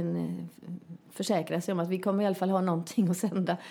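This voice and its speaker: A woman speaks with vocal fry in a dark, mellow tone. Her pitch is fairly low and her intonation fairly even. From Västergötland, Sweden (rural, near Småland/Halland border). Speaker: comedian and actress. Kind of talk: casual chat. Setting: at guest's home.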